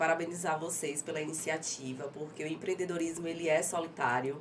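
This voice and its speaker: A woman with a fairly low pitch at a fairly quick pace, amid audible room echo and noticeable background noise. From Aracaju, Sergipe, Brazil. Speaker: entrepreneur, tanning business owner. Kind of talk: interview. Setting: studio. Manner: articulate, trained speaker.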